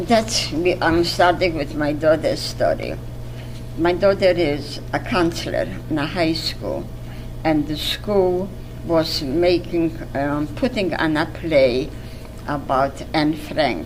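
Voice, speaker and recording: Very slow speech from a woman, noticeable background noise and audible room echo around her. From Poland. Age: 80s+. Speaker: Holocaust survivor. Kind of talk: testimony. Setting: museum interview. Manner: halting.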